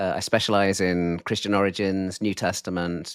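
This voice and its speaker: On a very clean recording with a silent background, a man with a British accent speaks at a fairly low pitch, the sound dry and close with no echo. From UK. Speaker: professor. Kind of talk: interview.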